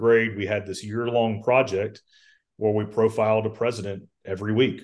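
A man speaks with a Georgia accent. His pitch is fairly low. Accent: Southern American (Georgia). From US South, Columbus, Georgia. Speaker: lobbyist for a trade association. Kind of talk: interview, casual chat. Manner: many fillers and hesitations.

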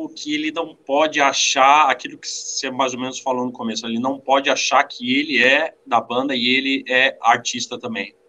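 The man keeps a moderate pace with hardly any pauses. His intonation stays fairly even. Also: medium pitch for a man. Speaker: drummer. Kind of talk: casual chat. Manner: halting. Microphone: poor mic, noisy sound.

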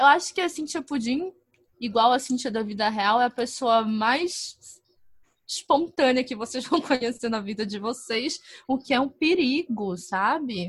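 A woman speaks with a high pitch and lively intonation. Her pace is fairly slow against a quiet background. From northern Brazil. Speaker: advertising professional and podcaster. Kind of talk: casual interview. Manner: calm-sounding.

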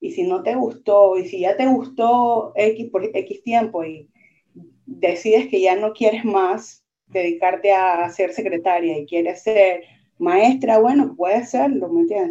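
A woman at a fairly high pitch, fairly slow pace and very wide pitch swings. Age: 30s. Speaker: merchant marine graduate and nightclub worker. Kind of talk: casual interview chat.

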